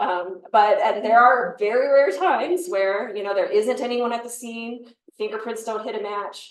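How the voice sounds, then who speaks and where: A fairly high-pitched woman with an American accent at a moderate pace, with ordinary pitch variation, big swings in loudness, and audible room echo. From US Midwest, Chicago area. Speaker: forensic pathologist. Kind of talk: panel talk answering questions.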